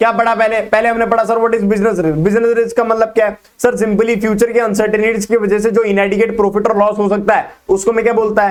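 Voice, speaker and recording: A man with a high pitch speaks in a flat monotone at very even loudness with hardly any pauses. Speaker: business studies teacher. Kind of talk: lecture. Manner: fast.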